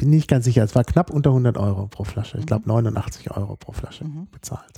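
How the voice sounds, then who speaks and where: A man has an unremarkable speaking voice with medium pitch and ordinary pitch variation. He talks at a moderate pace, with big swings in loudness. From Germany. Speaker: podcast co-host. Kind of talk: casual chat.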